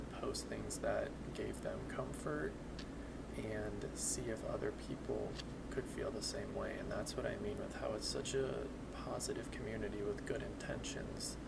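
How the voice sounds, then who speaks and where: Over noticeable background noise, a soft-spoken man talks at a fairly slow pace in a nervous tone. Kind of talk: casual talk to camera, soft-spoken ASMR channel intro. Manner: soft-spoken, hesitant, nervous.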